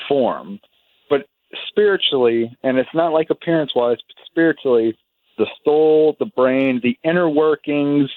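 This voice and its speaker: At a fairly slow pace, a man talks in a normal speaking voice with ordinary pitch variation. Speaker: radio call-in listener. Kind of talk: radio call-in conversation. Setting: phone line.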